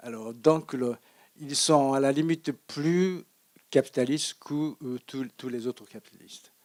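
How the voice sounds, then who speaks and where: Fairly high in pitch, this man speaks at a fairly slow pace with ordinary pitch variation. His loudness swings widely. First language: Japanese (speaking French). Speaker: economist lecturer. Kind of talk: Q&A after lecture. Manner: halting, many hesitations.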